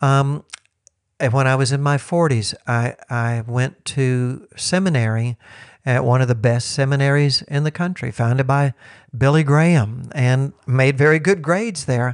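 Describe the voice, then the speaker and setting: Over a quiet background, a man speaks at a fairly slow pace with very even loudness. It is an ordinary speaking voice. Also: medium pitch for a man, ordinary pitch variation. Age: 60s. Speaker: teacher and former missionary. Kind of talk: casual chat.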